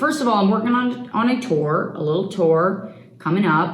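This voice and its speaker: Lively intonation comes through over noticeable background noise. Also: woman. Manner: casual, joking.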